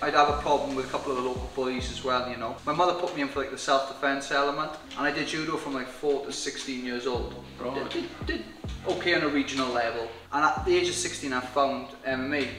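Clear music plays behind a man who talks at a very fast pace with fairly even intonation and audible room echo. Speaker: interviewee. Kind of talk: interview answer. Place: bar.

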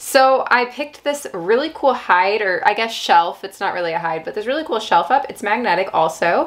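Very wide pitch swings mark this voice, which moves at a moderate pace with hardly any pauses. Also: woman. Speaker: pet keeping creator. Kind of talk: casual vlog chat. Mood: upbeat, enthusiastic. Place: home room.

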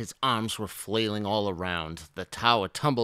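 What you hear is a natural reading voice.

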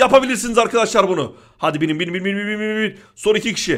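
Speaking at a fairly quick pace, a man sounds animated and shows ordinary pitch variation. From Denmark. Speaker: gaming youtuber. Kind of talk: gameplay commentary.

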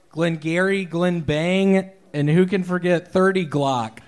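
A high male voice with ordinary pitch variation. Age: 30s. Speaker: stand-up comedian. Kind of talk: stand-up. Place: stage. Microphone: handheld.

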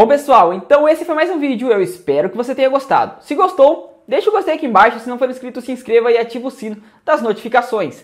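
Someone with a Brazilian accent talks at a very fast pace with hardly any pauses, in a very clean recording with a silent background. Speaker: tech tutorial youtuber. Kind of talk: tutorial.

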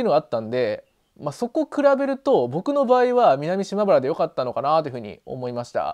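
Against a quiet background, a man talks at a fairly quick pace and high pitch, with very wide pitch swings and big swings in loudness. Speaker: video blogger living in the countryside. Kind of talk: casual vlog chat. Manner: casual, chatty, with many fillers. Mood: friendly, upbeat. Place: home room. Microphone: lapel.

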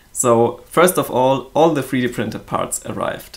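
A man speaks with vocal fry at a moderate pace. His pitch variation is ordinary. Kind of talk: casual project update vlog. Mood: cheerful, grateful. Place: workshop.

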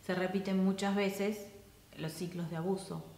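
A woman with an Argentine accent speaks amid audible room echo. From Argentina. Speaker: counselor. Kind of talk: casual talk to camera. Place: home room.

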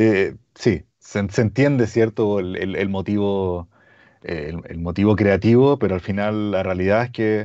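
Against a quiet background, someone with a Chilean accent speaks at a fairly slow pace in a dark, mellow tone with fairly even intonation. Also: man, fairly low pitch for a man. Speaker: audio brand representative. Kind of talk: product webinar. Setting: video call. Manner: halting. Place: home room. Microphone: lapel.

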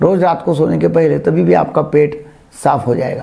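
A man talks at a fairly slow pace. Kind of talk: health advice talk to camera. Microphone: lapel.

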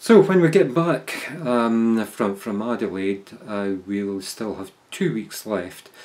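Speaking very slowly, a man with a fairly low voice uses lively intonation and big swings in loudness. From Scotland. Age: 60s. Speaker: amateur marathon runner. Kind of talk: casual video diary to camera. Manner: hesitant, with many fillers. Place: home room. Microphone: phone near.

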